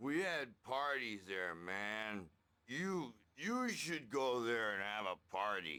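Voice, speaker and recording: A man puts on a character voice at a very slow pace, medium in pitch with very wide swings. The recording is very clean with a silent background. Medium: video game. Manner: rambling, cryptic, hippie slang.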